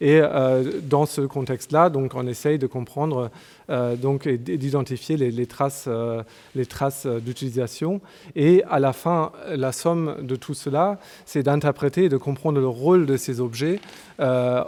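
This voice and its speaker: Fairly slow, fairly high-pitched speech from a man, with ordinary pitch variation. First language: German (speaking French). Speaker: archaeologist. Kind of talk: conference talk. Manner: halting, many hesitations.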